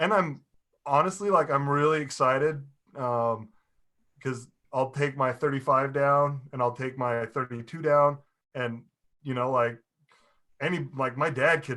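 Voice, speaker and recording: The voice is loud, with a bright, sharp tone, fairly even intonation, a fairly slow pace, and long, frequent pauses. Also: man, fairly high pitch for a man. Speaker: car owner. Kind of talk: casual chat.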